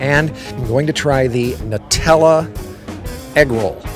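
Music is clearly heard behind a man speaking. His pitch varies in an ordinary way, and the sound is dry with no echo. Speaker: radio host. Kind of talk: casual food review chat. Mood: cheerful, relaxed. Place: stadium. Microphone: handheld.

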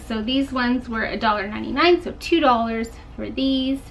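A moderate pace over light background noise. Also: woman. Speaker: thrift haul vlogger. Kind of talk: casual vlog chat. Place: home room. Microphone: camera far.

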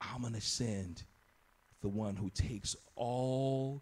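A man speaks in a dark, mellow tone. His voice is somewhat breathy, with ordinary pitch variation. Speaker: pastor. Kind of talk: sermon. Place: church. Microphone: handheld.

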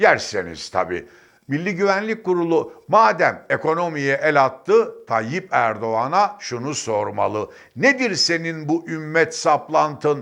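Against a quiet background, a man with a fairly high pitch speaks at a very slow pace, his pitch swinging very widely. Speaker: political commentator. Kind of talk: political commentary monologue. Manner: emphatic.

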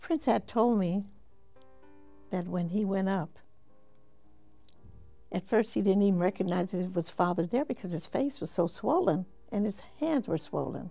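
Faint music plays behind a woman with an American accent who speaks at a moderate pace with lively intonation and long, frequent pauses. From United States. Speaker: mother of a late pop star. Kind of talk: interview answer. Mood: somber, reflective. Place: home room.

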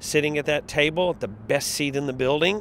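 There is light background noise and a dry sound with no echo. A man with a fairly high pitch speaks fairly quickly, using ordinary pitch variation. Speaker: arena public address announcer. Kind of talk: interview answer. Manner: loud, animated. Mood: warm, enthusiastic. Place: street. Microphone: handheld.

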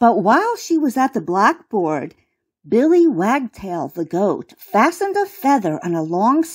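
Reading aloud in a natural voice against a quiet background

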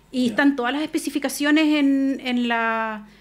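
The speech goes at a moderate pace with fairly even intonation. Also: woman. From Chile, La Serena (Coquimbo region); Chile. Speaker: lawyer, regional irrigation official; lawyer. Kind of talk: radio interview. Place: studio. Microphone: studio mic.

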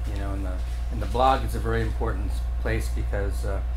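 A man speaks at a fairly quick pace in a flat, monotone delivery, with faint music in the background. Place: hall. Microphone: camera far.

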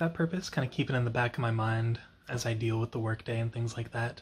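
A man's voice comes through somewhat breathy. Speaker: vlogger. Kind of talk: casual vlog monologue. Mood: relaxed, easygoing. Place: home room. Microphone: phone near.

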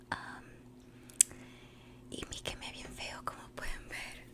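Loud background noise fills this clip as the speaker goes at a very slow pace. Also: woman. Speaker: ASMR creator. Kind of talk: casual talk to camera. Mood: cheerful, birthday. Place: home room. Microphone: studio mic.

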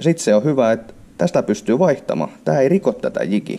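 A man speaks at a moderate pace with a dark, mellow tone and some vocal fry. Light background noise sits behind him. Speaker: fishing tackle demonstrator. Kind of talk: product demonstration tutorial. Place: home room. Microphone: phone near.

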